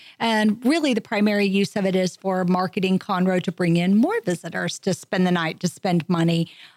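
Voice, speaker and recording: Here a woman uses a normal speaking voice at a medium pitch and a fairly quick pace. The sound is dry and close, with no echo. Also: very clean recording, silent background. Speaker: tourism bureau manager. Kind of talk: casual interview. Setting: studio.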